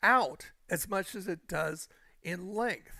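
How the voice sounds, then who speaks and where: A man speaks in a high-pitched, bright, sharp tone. His voice is raised and projected. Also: very clean recording, silent background. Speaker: gaming live streamer. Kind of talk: casual chat. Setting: live stream on camera. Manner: energetic when on camera.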